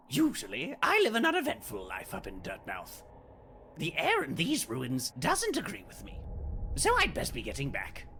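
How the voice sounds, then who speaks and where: A man puts on a character voice, delivering it at a moderate pace. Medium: fan dub. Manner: smooth, amiable.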